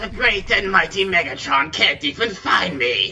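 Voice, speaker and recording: A man performs a put-on character voice at medium pitch. His pace is moderate, with clear background noise behind him. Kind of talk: comedic gaming parody with character voices. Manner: taunting, foul-mouthed, shrill.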